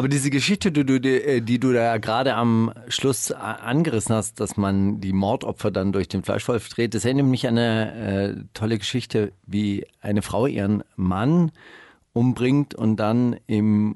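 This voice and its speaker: A man keeps a very even loudness at a medium pitch, using ordinary pitch variation and a fairly slow pace. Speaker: radio host. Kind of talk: casual chat. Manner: animated.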